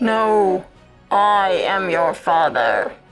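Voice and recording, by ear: A woman at a medium pitch does a put-on character voice while faint music plays in the background.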